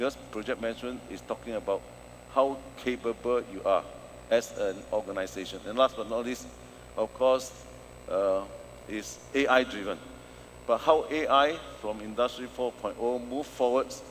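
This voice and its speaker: Speaking at a moderate pace, a man leaves long, frequent pauses. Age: 60s. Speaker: professor and consultant. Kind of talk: conference keynote.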